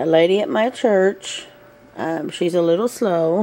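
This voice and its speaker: A woman speaks with a Southern US accent over noticeable background noise. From US South. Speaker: vlogger. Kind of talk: casual chat. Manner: hesitant, many fillers.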